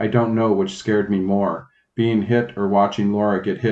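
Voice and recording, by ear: The reading aloud is done in a natural voice, and the intonation stays fairly even. Behind it, the background is quiet.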